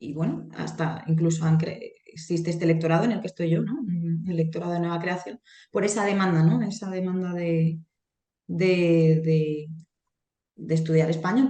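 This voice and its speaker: A woman with a fairly low pitch and a dark, mellow tone speaks at a moderate pace, somewhat breathy, with ordinary pitch variation. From Spain, Alcoy (Alicante), Valencian-speaking area. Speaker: Spanish language lecturer. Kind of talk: interview.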